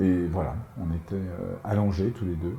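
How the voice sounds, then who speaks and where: A man speaks at a fairly low pitch. Noticeable background noise runs behind him. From France, Paris and Normandy. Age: 60s. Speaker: author. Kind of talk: interview. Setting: at home. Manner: halting, many repetitions.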